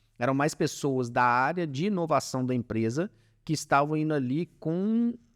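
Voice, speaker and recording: Against a quiet background, the speaker uses lively intonation at a moderate pace. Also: man. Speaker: startup founder in industrial maintenance. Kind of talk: podcast interview. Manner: casual, hesitant with fillers.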